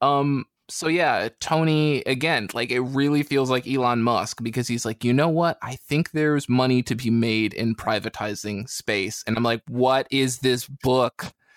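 Fairly slow and fairly even, a man with an ordinary speaking voice and medium pitch comes through in a dry, close sound with no echo on a very clean recording with a silent background. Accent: American. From US (not British). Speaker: podcast guest, comics reviewer. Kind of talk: casual chat.

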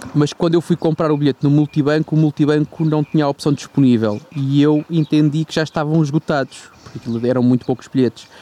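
A man with a European Portuguese accent, fairly high-pitched and fairly even in intonation, in a dry, close sound with no echo, plus noticeable background noise. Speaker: podcast co-host. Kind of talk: casual chat.

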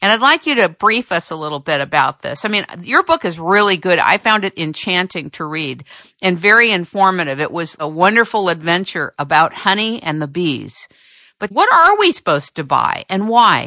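Against a quiet background, a woman speaks at a moderate pace and medium pitch with lively intonation. Her tone is bright and sharp, and the sound is dry and close with no echo. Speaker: radio host. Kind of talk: radio interview.

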